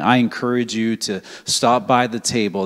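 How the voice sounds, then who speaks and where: A man speaks in a monotone, with flat intonation. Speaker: pastor. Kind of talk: church service hosting and prayer. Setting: church. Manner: halting, many fillers.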